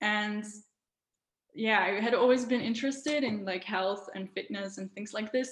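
A woman's medium-pitched voice with a non-native accent, ordinary pitch variation and a moderate pace. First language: not English. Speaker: wellness influencer. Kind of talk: casual interview, personal story. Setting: video call. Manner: warm, slightly hesitant with fillers.

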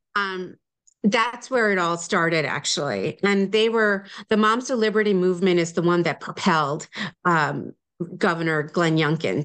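A woman with an American accent speaks in an unremarkable speaking voice, fairly low in pitch, with ordinary pitch variation, very even loudness and a moderate pace against a quiet background. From New Jersey / New York area. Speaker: parents' advocacy group leader. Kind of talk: interview.

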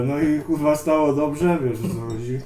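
Audible room echo surrounds a man as he speaks. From Tricity, Poland (Sopot). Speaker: graffiti writer. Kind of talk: casual interview, heavy swearing. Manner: halting.

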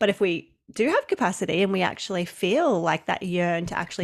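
This woman talks at a fairly quick pace. She has an Australian accent. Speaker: business coach and summit host. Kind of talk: casual interview chat. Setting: remote call, different time zone.

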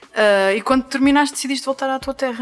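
There is noticeable background noise. A woman talks very fast in a high voice. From Azores. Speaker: podcast host. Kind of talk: casual interview. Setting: shop in Angra do Heroísmo, Azores.

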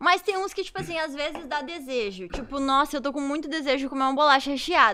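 A raised, projected voice at a very fast pace. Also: woman, high pitch for a woman, lively intonation. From Santa Rosa, Rio Grande do Sul, Brazil. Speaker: professional dancer. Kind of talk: casual chat.

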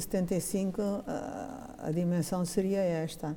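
A woman's voice comes through somewhat breathy, in a dark, mellow tone. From Mozambique. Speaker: textile engineer. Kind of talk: casual reminiscing interview.

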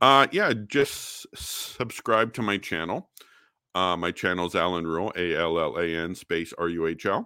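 With a Canadian accent and a very deep, low pitch, a man speaks at a moderate pace with ordinary pitch variation and a bright, sharp tone in a very clean recording with a silent background. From Canada, Alberta. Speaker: amateur historian, engineer by training. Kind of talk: interview on history. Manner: halting with frequent stutters.

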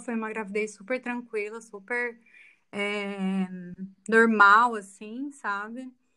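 This woman's voice sits at a fairly high pitch. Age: 30s. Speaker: student and mother. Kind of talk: interview testimony.

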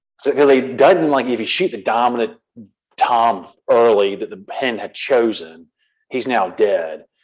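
A man talks in a coastal Georgia accent. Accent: US Southern (coastal Georgia). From US South, Savannah, Georgia. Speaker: hunter and habitat manager. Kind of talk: casual interview.

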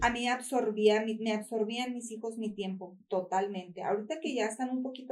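A woman with a normal speaking voice talks at a fairly slow pace in a fairly high pitch, with ordinary pitch variation. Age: 40s. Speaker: small business owner. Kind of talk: interview testimony.

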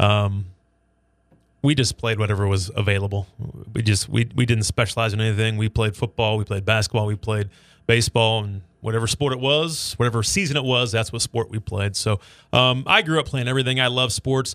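An unremarkable speaking voice with an American accent, fairly quick pace, fairly even intonation, and a dry, close sound with no echo. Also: man, medium pitch for a man. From Nebraska. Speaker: sports radio broadcaster. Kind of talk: casual chat.

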